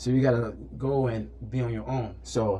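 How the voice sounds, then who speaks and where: A man speaks with a medium pitch and a dark, mellow tone. His pitch varies in an ordinary way. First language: not English. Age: 30s. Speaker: fitness trainer. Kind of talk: casual chat. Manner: halting, repeats words.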